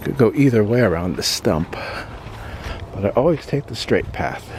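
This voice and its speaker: Noticeable background noise sits under a man speaking at a medium pitch and a moderate pace. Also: big swings in loudness. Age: 60s. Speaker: vlogger. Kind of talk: casual walking vlog narration. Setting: outdoors. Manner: halting.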